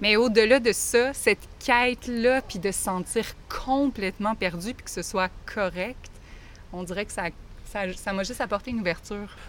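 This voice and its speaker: A woman's fairly high voice with a Quebec accent, a moderate pace, ordinary pitch variation and big swings in loudness. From Quebec, Lac-Mégantic region. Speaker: teacher. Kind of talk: interview.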